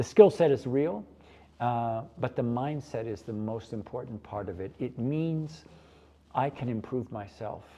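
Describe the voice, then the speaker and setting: Speaking at a fairly slow pace, a man with an American accent has a dark, mellow tone and ordinary pitch variation over a quiet background. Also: medium pitch for a man, big swings in loudness. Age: 70s. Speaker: pastry chef. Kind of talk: interview.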